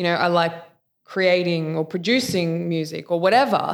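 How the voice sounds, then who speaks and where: This woman has an unremarkable speaking voice pitched fairly low. Her pitch variation is ordinary. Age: 20s. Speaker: podcast host and coach. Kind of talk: casual chat.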